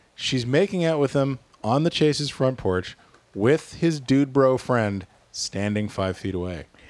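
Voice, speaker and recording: A man with a plain, everyday voice speaks at a medium pitch and a fairly slow pace. His intonation is lively. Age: 40s. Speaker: podcast host. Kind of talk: casual chat.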